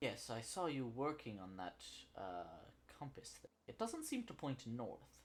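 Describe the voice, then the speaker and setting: A man puts on a character voice at medium pitch. His pace is fairly slow. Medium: actual play. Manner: practical, plain-spoken.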